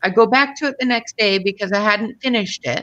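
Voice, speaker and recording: In a plain, everyday voice, a woman talks at a fairly quick pace with fairly high pitch and lively intonation over a quiet background. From Canada. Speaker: coloring channel co-host. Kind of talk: casual chat. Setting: video call. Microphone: video call.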